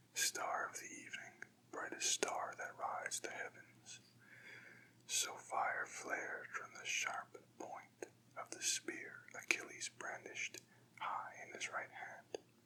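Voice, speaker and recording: A man whispers at a very slow pace amid noticeable background noise. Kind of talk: ASMR poetry reading. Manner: whispered, soft-spoken.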